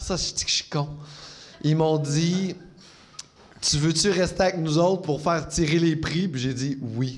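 A man with a fairly high voice speaks at a fairly slow pace, with fairly even intonation and long, frequent pauses. Audible room echo and noticeable background noise are present. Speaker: comedian. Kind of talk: casual chat. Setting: stage with audience.

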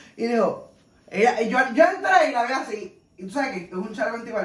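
With audible room echo, a woman talks at a fairly quick pace in a fairly high, animated voice that takes very wide pitch swings. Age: 30s. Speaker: podcast co-host. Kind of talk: casual chat, truth or dare game.

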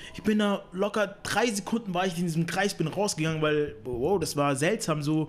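A man with a high voice talks at a moderate pace in an animated tone, with hardly any pauses. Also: ordinary pitch variation. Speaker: podcast host. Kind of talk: casual chat.

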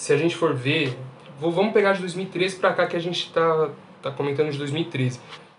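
His voice is pitched high. The man keeps to a moderate pace. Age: 20s. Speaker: podcast panelist, engineering student. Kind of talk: casual chat.

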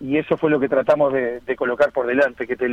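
A man with a Uruguayan accent talks at a fairly quick pace. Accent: Rioplatense Spanish (Uruguayan). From Uruguay, Las Piedras (Canelones). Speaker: football coach. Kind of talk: radio interview. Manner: halting, repeats words.

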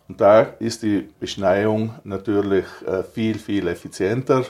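This man talks at a fairly slow pace in a fairly low pitch, his intonation monotone and flat. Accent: South Tyrolean. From South Tyrol, Italy. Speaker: ski resort operator and snowmaking entrepreneur. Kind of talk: interview. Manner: halting with frequent fillers.

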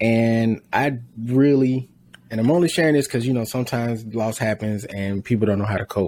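In a normal speaking voice, this man talks at a moderate pace, pitched medium and with ordinary pitch variation. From rural US. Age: 30s. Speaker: podcast host. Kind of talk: casual chat.

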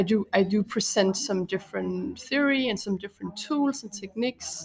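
This woman speaks with a Danish accent. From Copenhagen, Denmark. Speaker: art teacher and artist. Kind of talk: casual interview.

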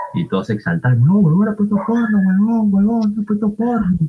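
A man is talking here. His pace is fairly quick. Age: 20s. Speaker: university student, podcast co-host. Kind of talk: casual chat.

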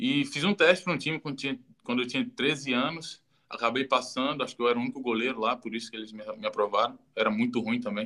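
A man talks at a very fast pace in a medium-pitched voice with a bright, sharp tone and ordinary pitch variation. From Ceará, Brazil (Juazeiro do Norte). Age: 20s. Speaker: goalkeeper and football coach. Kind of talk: casual interview on a livestream. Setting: online live video stream. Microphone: low quality audio ripped from video.

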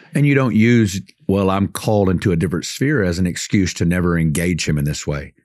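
A man with a very deep, low pitch talks at a fairly quick pace with lively intonation. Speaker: podcast co-host, minister. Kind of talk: casual faith discussion. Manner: loud.

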